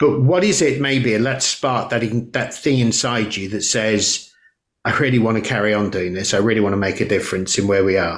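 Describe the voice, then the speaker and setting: A man's normal speaking voice, medium in pitch, fairly quick, with ordinary pitch variation. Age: 60s. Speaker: podcast host. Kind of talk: interview conversation.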